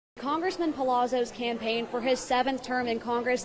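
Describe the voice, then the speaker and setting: Against noticeable background noise, a woman talks in a high voice at a fairly quick pace. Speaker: TV news reporter. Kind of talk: TV news report.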